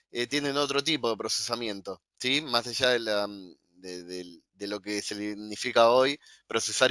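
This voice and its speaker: A man speaks with a bright, sharp tone and fairly even intonation. The sound is dry and close, with no echo. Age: 40s. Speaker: cyber intelligence analyst and lecturer. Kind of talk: interview. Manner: halting, many fillers.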